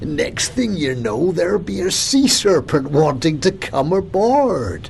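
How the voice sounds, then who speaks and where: Using a put-on character voice, a man speaks at a high pitch and a fairly slow pace with clear background noise. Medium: read story. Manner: warm, gentle.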